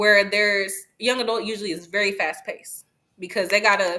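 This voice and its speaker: Fairly quick speech from a woman, medium in pitch, with fairly even intonation. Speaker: book influencer. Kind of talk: interview. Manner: fast; casual.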